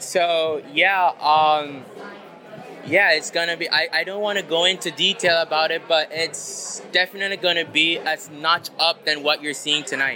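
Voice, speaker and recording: Over noticeable background noise, a high-pitched man speaks at a moderate pace in a monotone, flat intonation. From Belize. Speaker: fashion designer. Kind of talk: interview.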